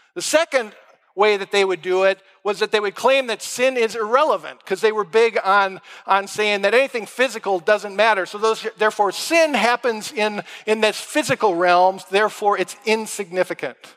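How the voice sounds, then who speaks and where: With an American accent, a man speaks at a moderate pace in a high pitch with ordinary pitch variation, and the sound is dry and close with no echo. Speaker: pastor. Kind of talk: sermon.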